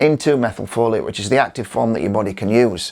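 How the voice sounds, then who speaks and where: A man at medium pitch with an unremarkable speaking voice, at a fairly quick pace. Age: 60s. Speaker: physical therapist and nutritionist. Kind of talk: educational talk to camera.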